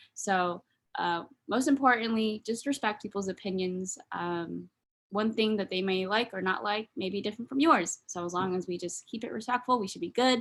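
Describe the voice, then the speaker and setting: This woman talks with an American accent at a medium pitch. Her pitch rises and falls in an ordinary way. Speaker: student workshop host. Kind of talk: workshop presentation. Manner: fast.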